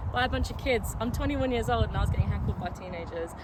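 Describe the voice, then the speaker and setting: Speech in a London accent rushes by at a very fast pace, with audible room echo and noticeable background noise. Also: woman. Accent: southern English, London area. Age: 20s. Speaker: amateur footballer. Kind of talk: casual talk to camera. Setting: outdoors in a local park. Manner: casual, hesitant with fillers.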